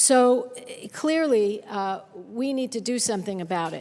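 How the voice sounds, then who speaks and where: In a normal speaking voice, the speech goes at a fairly slow pace with ordinary pitch variation. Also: woman. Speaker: U.S. senator speaking on the Senate floor. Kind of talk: formal Senate floor speech.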